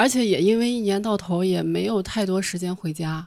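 In a very clean recording with a silent background, a woman with a plain, everyday voice speaks at a moderate pace with lively intonation. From Shanxi, China. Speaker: audience member. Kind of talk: casual chat.

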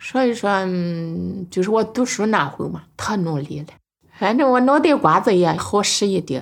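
With a Henan accent, a woman speaks fairly slowly at a medium pitch, using lively intonation. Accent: some Henan. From rural Henan, Nanyang. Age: 50s. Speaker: farm woman and poet. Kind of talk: personal testimony.

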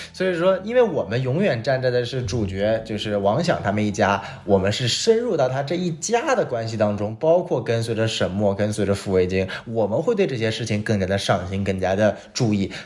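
Over noticeable background noise, a man talks at a fairly quick pace in a medium-pitched voice with lively intonation and hardly any pauses. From Northeast China. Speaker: podcast host. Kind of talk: casual chat, TV drama review.

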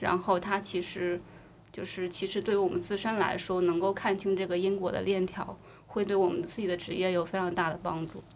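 Her intonation is monotone and flat. The woman keeps a fairly quick pace. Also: medium pitch for a woman. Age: young. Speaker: enterprise architecture consultant. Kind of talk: casual chat.

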